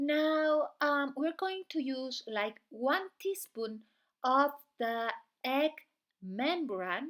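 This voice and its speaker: A woman with a non-native accent talks very slowly in a high voice with lively intonation. The recording is very clean, with a silent background. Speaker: beauty channel host. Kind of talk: tutorial.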